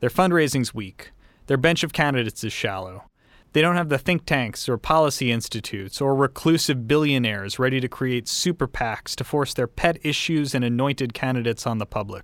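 On a very clean recording with a silent background, a man with an American accent uses a normal speaking voice at a fairly quick pace, a medium pitch and ordinary pitch variation. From Texas. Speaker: podcast host and reporter. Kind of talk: narrated documentary reporting.

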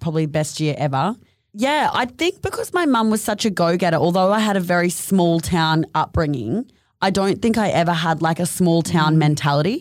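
A woman with an Australian accent speaks at a moderate pace and fairly low pitch, with ordinary pitch variation and very even loudness, in a very clean recording over a silent background. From North Queensland, Australia (Mission Beach). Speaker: fashion label co-founder. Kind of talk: casual chat.

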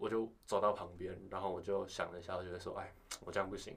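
The speaker is a man. His delivery is very fast. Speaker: university student. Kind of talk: casual chat.

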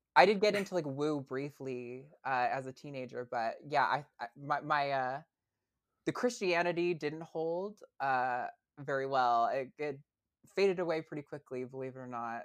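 Speaking with an American accent, a woman with a very deep, low pitch moves at a moderate pace with ordinary pitch variation and big swings in loudness, on a very clean recording with a silent background. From US Northeast, rural northern Vermont. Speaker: podcast co-host. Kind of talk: casual interview chat.

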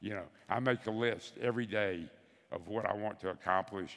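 A man's fairly low voice in a Southern US accent, at a moderate pace with ordinary pitch variation. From US South, Bessemer, Alabama. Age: 70s. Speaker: veteran insurance advisor. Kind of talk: onstage interview. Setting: stage with audience.

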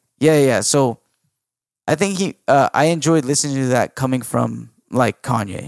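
A man with a plain, everyday voice and an American accent speaks at a moderate pace with medium pitch and ordinary pitch variation, in a dry, close sound with no echo. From US, Mexican parents. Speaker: podcast co-host. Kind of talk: casual chat.

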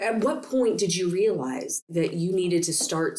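With lively intonation, a woman talks at a moderate pace in a fairly low pitch and a normal speaking voice. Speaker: podcast host. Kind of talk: interview. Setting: conference venue.

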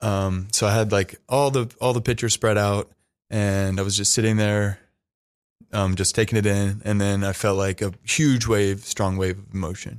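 In a very clean recording with a silent background, a man talks at a moderate pace. He has an unremarkable speaking voice, fairly low in pitch, with fairly even intonation. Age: 30s. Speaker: grieving son sharing his father's death. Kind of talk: casual interview conversation.

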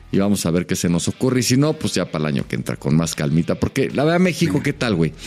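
With a Mexican accent, a man talks at a very fast pace in a very deep, low pitch with very wide pitch swings, over noticeable background noise. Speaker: NFL podcast co-host and TV pundit. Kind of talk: casual chat.

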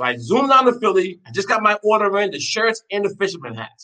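A man's high, bright, sharp voice, raised and projected, at a very fast pace. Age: 50s. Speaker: chef. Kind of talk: casual chat. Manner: animated.

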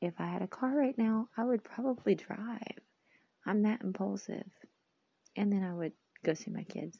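A woman's somewhat breathy voice at medium pitch, moderate pace and ordinary pitch variation, with long, frequent pauses. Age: 30s. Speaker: podcast host. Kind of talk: personal monologue. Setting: recording alone on phone. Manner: talkative.

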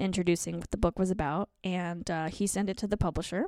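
In an American accent, a woman with a fairly low pitch talks at a fairly quick pace in an ordinary speaking voice, recorded very cleanly against a silent background. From Colorado, US. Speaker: author and comedian. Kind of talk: casual chat.

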